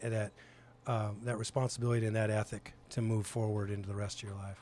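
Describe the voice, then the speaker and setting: This man speaks at a medium pitch. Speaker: podcast host. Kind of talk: warm interview. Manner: earnest, hesitant with fillers.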